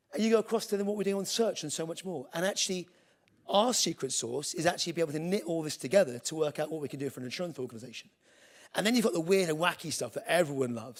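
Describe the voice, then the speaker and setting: With a British accent, a man talks at a very fast pace. His intonation is lively. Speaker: tech executive giving a conference talk. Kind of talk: conference keynote presentation. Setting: stage with audience. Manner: casual, humorous, with filler words.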